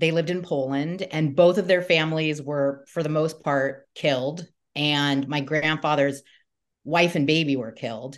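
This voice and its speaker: A woman with a Southern Californian accent speaks fairly slowly in a very deep, low voice. Her intonation is fairly even over a quiet background. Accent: Southern California American. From US West Coast, Southern California. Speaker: comedian and podcast host. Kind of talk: casual interview chat.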